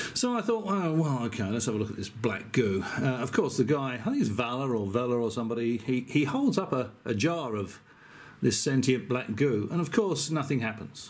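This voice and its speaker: With an English accent, a man of medium pitch talks at a moderate pace. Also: lively intonation. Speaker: YouTuber. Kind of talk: casual video commentary. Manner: hesitant.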